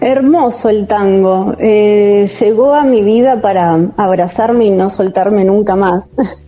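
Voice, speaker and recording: Over noticeable background noise, a woman speaks very slowly at a medium pitch, with ordinary pitch variation and very even loudness. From Argentina, San Miguel, Buenos Aires province. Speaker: dancer. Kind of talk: interview. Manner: halting.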